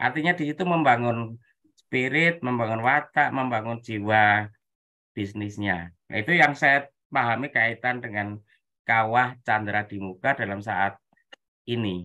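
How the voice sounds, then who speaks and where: A man with an unremarkable speaking voice, medium pitch and ordinary pitch variation, at a fairly slow pace. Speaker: webinar participant. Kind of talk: commentary in a discussion. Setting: video call, camera off.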